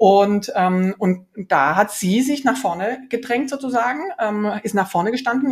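Her voice is fairly high and somewhat breathy. The woman's intonation is lively. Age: 40s. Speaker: startup founder and CEO. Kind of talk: interview. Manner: many fillers and hesitations.

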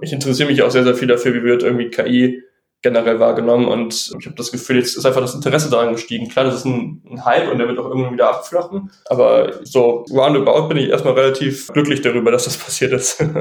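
A man talks at a very fast pace with hardly any pauses. His medium-pitched voice keeps a fairly even intonation. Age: 20s. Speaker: AI startup founder. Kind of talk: podcast interview.

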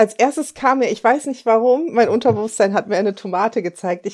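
The intonation is lively. The pace is moderate. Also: woman. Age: 50s. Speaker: life coach and mentor. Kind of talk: casual interview chat.

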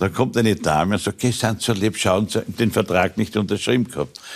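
At a fairly quick pace, a man speaks in an ordinary speaking voice, fairly low in pitch with ordinary pitch variation. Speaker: former football club president. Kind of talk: talk show interview.

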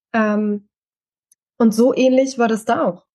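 Her voice sits at a fairly high pitch with fairly even intonation. The woman's sound is dry and close, with no echo. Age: 40s. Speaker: mentor and coach. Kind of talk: interview testimony. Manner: hesitant, many fillers.

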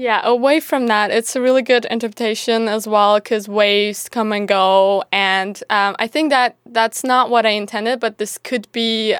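A woman speaks with a Turkish accent and fairly even intonation. The recording is very clean, with a silent background and a dry, close sound with no echo. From Turkey. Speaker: university student and writer. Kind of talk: casual interview. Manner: hesitant, with many fillers.

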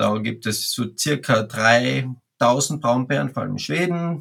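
A man uses a normal speaking voice, pitched in the medium range and varying in an ordinary way. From Austria, Carinthia. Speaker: wildlife ecologist, bear expert. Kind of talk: interview.

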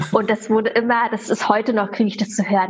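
A woman with a plain, everyday voice talks at a fairly quick pace in a fairly high pitch. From Germany, Berlin. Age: 30s. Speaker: religion teacher. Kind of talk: interview.

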